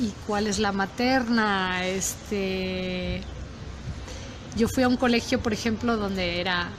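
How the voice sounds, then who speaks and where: Speaking at a very slow pace with fairly even intonation, a woman is heard amid audible room echo. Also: medium pitch for a woman. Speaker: university professor. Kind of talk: casual interview conversation. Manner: halting, with many fillers.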